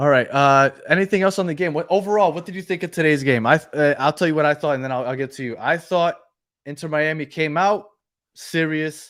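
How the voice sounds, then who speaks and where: Fairly high-pitched male speech at a fairly quick pace, with ordinary pitch variation, in a very clean recording with a silent background. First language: Spanish. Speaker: football podcast co-host. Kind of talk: live postgame stream chat.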